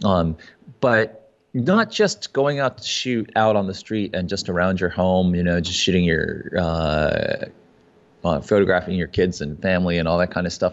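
A man talks at a fairly slow pace in a plain, everyday voice. His pitch is fairly low, with ordinary pitch variation. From US (Maryland, China, Texas, New York). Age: 40s. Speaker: photographer and kayak builder. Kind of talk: casual interview.

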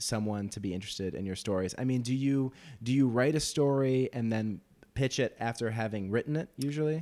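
A man talks at medium pitch and a moderate pace with ordinary pitch variation. The recording is very clean, with a silent background. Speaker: podcast interviewer. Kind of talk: interview conversation. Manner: halting, hedging.

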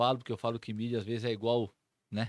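The sound is dry and close-up, without any echo. It's a man talking. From Brazil, Mato Grosso do Sul (São Gabriel do Oeste). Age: 40s. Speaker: city councillor. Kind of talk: casual interview.

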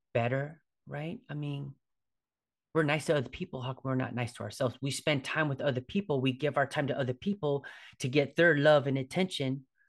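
Here a man has an ordinary speaking voice at a fairly high pitch. He keeps a moderate pace with ordinary pitch variation. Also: quiet background. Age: 40s. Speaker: fitness coach and yoga instructor podcast host. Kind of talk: solo podcast monologue. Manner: casual, with frequent fillers and repetitions.

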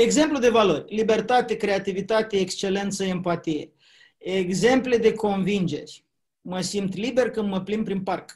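A man's high-pitched voice at a fairly slow pace with ordinary pitch variation. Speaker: public speaking trainer. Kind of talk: interview.

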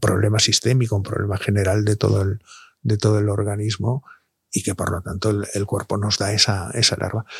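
A man speaks at a fairly low pitch with a somewhat breathy voice. The sound is dry and close, with no echo. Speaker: doctor (andrologist). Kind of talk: casual interview. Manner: halting.

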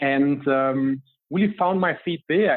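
This man speaks with a German accent. His pitch is fairly high. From Germany. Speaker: business coach. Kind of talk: interview.

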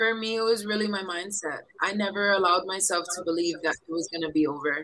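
Speaking with a Hawaiian accent, a woman talks at a fairly quick pace at a medium pitch in a bright, sharp tone. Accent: Hawaiian American English. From Hawaii, east side of Oahu. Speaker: professional volleyball player. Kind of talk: interview. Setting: remote podcast from quarantine hotel room.

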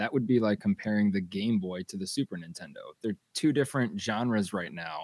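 A man with an ordinary speaking voice talks at a moderate pace and medium pitch with lively intonation, the sound dry and close with no echo. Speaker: podcast co-host. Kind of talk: casual chat.

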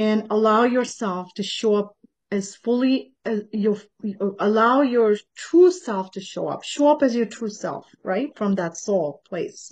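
An ordinary speaking voice from a woman, fairly high-pitched, with lively intonation at a fairly slow pace. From Canada, born in Tanzania. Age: 50s. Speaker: healer and fitness teacher. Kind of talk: casual interview.

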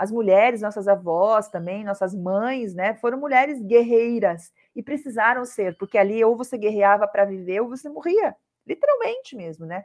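A woman with an unremarkable speaking voice talks at a fairly high pitch and a moderate pace, with ordinary pitch variation and big swings in loudness. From southern Brazil, Curitiba. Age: 50s. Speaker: self-love course creator and speaker. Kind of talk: casual interview.

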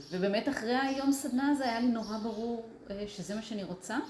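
The recording has noticeable background noise and an audible echo from the room. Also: woman. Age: 50s. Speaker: artist. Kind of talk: interview conversation.

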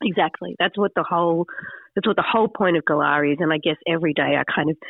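This woman has a fairly low pitch and an Australian accent. Her pitch varies in an ordinary way. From Sydney, Australia. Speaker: magazine founder and editor. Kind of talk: radio interview.

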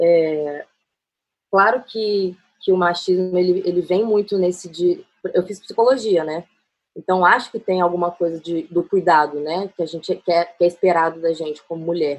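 At a moderate pace, a woman talks with a fairly low pitch and fairly even intonation. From Brasília. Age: 20s. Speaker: photographer. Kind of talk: casual chat. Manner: halting.

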